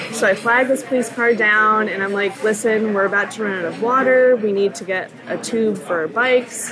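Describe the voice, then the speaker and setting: Against noticeable background noise, a woman talks at a fairly high pitch with fairly even intonation. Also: moderate pace. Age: 20s. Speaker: singer-songwriter and college student. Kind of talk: casual chat.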